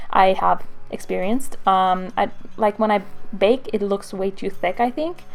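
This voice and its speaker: Music plays in the background while the speaker goes at a fairly slow pace. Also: woman. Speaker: beauty vlogger. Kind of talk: makeup tutorial voiceover.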